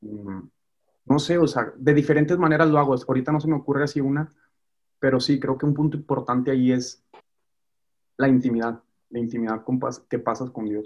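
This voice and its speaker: A man of medium pitch talks at a fairly quick pace with fairly even intonation, broken by long, frequent pauses. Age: 20s. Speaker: musician. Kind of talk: casual chat. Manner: halting.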